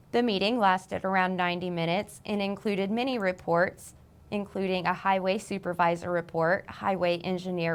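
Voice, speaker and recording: A woman's unremarkable speaking voice, medium in pitch, with fairly even intonation. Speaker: local TV news anchor. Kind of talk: local television newscast read.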